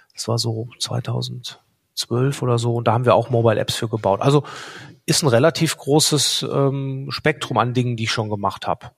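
Somewhat breathy, a man talks at medium pitch and a moderate pace with fairly even intonation. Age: 40s. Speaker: startup founder and product owner. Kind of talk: podcast interview.

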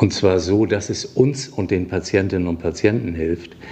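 At a fairly slow pace, a man speaks with ordinary pitch variation against noticeable background noise. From northern Germany (Flensburg). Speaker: hospital director and physician. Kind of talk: interview.

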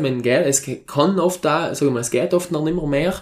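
At a moderate pace, a man uses a plain, everyday voice, fairly high in pitch with ordinary pitch variation. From South Tyrol, Italy. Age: 20s. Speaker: mountain farmer and university lecturer. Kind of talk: interview.

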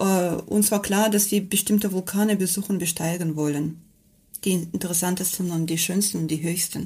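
A woman with a Russian accent speaks at a medium pitch and moderate pace, somewhat breathy, in a dark, mellow tone with fairly even intonation. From Russia, Kamchatka. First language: Russian (speaking German). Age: 40s. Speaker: mountain guide and teacher. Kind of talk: interview.

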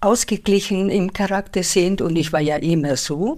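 On a very clean recording with a silent background, a woman talks at a fairly slow pace. Her medium-pitched voice carries a Spanish accent. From Spain. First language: Spanish (speaking German). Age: 70s. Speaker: retired bank employee and translator. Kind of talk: interview conversation.

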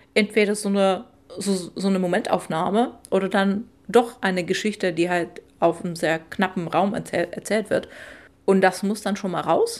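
At a moderate pace, a woman talks at medium pitch with fairly even intonation. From Czech Republic, Moravia (Olomouc). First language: Czech (speaking German). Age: 30s. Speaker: poet and translator. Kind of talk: casual interview. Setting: home kitchen.

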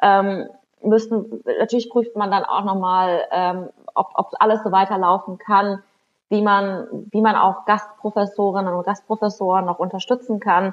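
Flat and monotone, the delivery moves fairly slowly. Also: woman, medium pitch for a woman. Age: 30s. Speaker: member of parliament. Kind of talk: interview. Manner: hesitant, many fillers.

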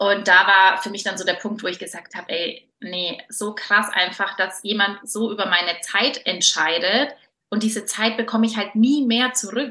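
A woman's ordinary speaking voice at a medium pitch, with ordinary pitch variation and big swings in loudness. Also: moderate pace. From Franconia, Germany (Nuremberg). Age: 30s. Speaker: entrepreneur and style coach. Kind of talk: interview.

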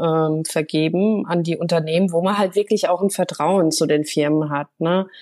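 A woman's fairly low, dark and mellow voice at a moderate pace with fairly even intonation, in a very clean recording with a silent background. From Germany, Hesse near Frankfurt. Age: 30s. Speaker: make-up artist and home renovator. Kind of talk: interview.

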